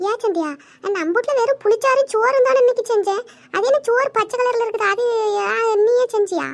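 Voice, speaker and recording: A woman puts on a squeaky character voice at an extremely high pitch. She keeps a moderate pace and very even loudness. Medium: cartoon. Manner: scolding, bossy.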